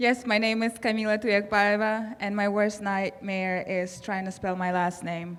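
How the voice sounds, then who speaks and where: A woman speaks with a Russian accent. Her intonation is fairly even. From Kazakhstan. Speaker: award recipient, public health professional. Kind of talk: acceptance speech.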